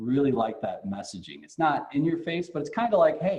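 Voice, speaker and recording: A man talks at a very fast pace with lively intonation. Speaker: economic development board president. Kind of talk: business presentation.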